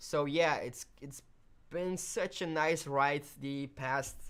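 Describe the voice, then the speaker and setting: A woman speaks with a very deep, low pitch. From Belgium, Flemish part. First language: Dutch (Flemish). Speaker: video editing tutorial host. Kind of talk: live stream chat. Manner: casual, hesitant fillers.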